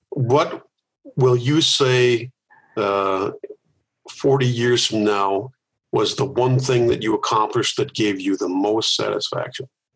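A man with an American accent speaks at a very slow pace, leaving long, frequent pauses. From US Midwest, Milwaukee, Wisconsin. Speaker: organizational consultant and author. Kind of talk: interview.

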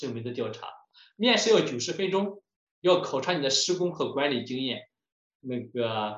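This man's intonation is lively as he keeps a moderate speed. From China, Shandong. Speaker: home builder and lecturer. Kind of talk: lecture.

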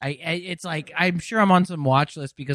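A man with an American accent talks at a fairly quick pace in a normal speaking voice, with ordinary pitch variation. The sound is dry and close, with no echo. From Los Angeles, California. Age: 20s. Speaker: comedian. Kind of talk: casual chat.

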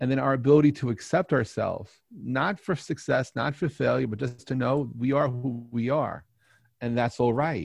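A man with an American accent sounds somewhat breathy, speaking at a medium pitch with ordinary pitch variation. His pace is moderate, and the background is quiet. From New York. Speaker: telecom entrepreneur and astrophotographer. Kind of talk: interview storytelling. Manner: halting.

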